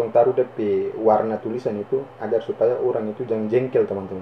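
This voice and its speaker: Over noticeable background noise, a man with a North Maluku accent speaks at a medium pitch with fairly even intonation. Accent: North Maluku (Ternate) Malay. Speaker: YouTuber. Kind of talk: screen-recorded tutorial.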